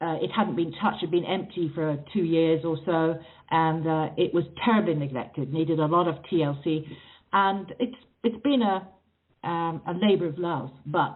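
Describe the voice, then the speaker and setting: In an English accent, a woman with a fairly low pitch speaks at a moderate pace with ordinary pitch variation. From England, raised partly in South Africa. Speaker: author. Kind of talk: interview. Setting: phone call.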